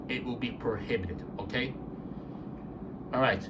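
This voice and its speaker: Room echo is audible here. The speaker is a man. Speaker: elevator video channel owner. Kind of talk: casual channel update vlog. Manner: halting, repetitive; trying to speak softly.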